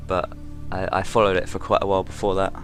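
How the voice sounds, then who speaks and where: Fairly even intonation, with music playing in the background. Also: man. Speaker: gaming YouTuber. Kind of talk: let's play commentary.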